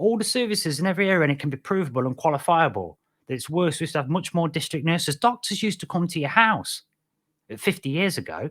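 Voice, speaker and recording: The intonation is lively, with a British accent, at a very fast pace. The recording is very clean, with a silent background. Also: man, high pitch for a man. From Britain. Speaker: podcast host. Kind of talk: casual solo podcast monologue. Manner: rambling with frequent fillers and restarts.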